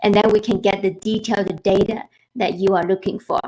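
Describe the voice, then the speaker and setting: This is a woman speaking. She has a Chinese accent. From China. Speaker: financial planner. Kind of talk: webinar presentation. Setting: live online webinar.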